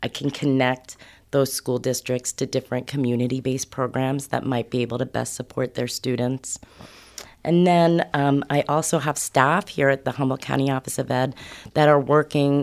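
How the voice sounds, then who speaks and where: This voice with an American accent keeps a moderate pace and fairly even intonation. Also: woman. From New York. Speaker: foster and homeless youth services director. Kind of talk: podcast interview.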